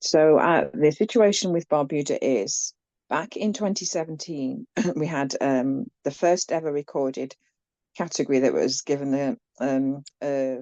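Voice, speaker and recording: A dark, mellow tone with lively intonation at a fairly slow pace, in a dry, close sound with no echo against a quiet background. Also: woman, very deep, low pitch for a woman. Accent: English. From England, Leicester. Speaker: land defender activist. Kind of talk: presentation.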